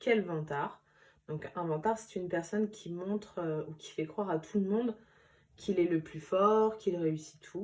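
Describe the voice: The reading aloud is plain, with pitch that varies in an ordinary way.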